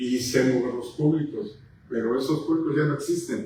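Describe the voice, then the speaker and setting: A man's fairly high voice at a fairly slow pace, with fairly even intonation and audible room echo. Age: 70s. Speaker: musician. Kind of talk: casual chat.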